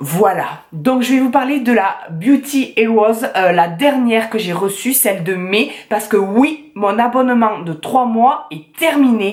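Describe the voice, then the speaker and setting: Lively intonation comes through at a very slow pace over noticeable background noise. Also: woman. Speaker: beauty YouTuber. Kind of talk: unboxing review vlog. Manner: casual, many hesitations.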